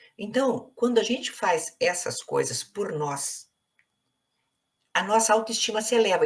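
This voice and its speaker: With lively intonation, a woman speaks at a fairly high pitch and a moderate pace. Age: 60s. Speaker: psychologist. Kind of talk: interview conversation.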